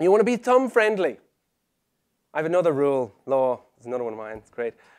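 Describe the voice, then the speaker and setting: In an Irish accent, a man talks at a very fast pace. His pitch is high and swings very widely. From Ireland. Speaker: web conversion specialist, conference speaker. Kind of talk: conference presentation. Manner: animated.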